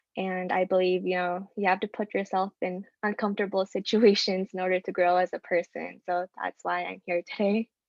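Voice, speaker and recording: Speaking at a moderate pace with hardly any pauses, a woman holds a medium pitch in a monotone, flat intonation. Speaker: student. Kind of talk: self-introduction. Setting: video call. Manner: stutters, many filler words.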